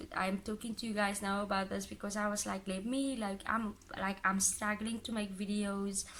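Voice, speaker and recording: The intonation is monotone and flat. A woman speaks at a moderate pace. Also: medium pitch for a woman. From Cape Town, South Africa. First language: Afrikaans. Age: 20s. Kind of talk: casual talk to camera. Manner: emotional.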